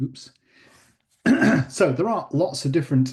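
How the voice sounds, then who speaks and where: A man speaks at a moderate pace in a somewhat breathy voice with a dark, mellow tone over a quiet background. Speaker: professor. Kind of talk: lecture.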